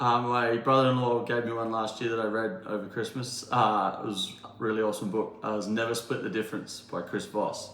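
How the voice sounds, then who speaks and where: Amid noticeable background noise and audible room echo, a man with an Australian accent speaks fairly quickly with hardly any pauses, at a medium pitch with monotone, flat intonation. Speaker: builder. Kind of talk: interview. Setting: in a townhome under renovation. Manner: hesitant, many fillers.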